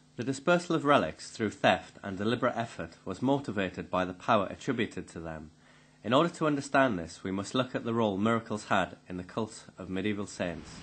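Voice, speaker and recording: A man talks at a very fast pace in a fairly low pitch. His intonation is lively and his loudness swings widely. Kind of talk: scripted narration, read aloud.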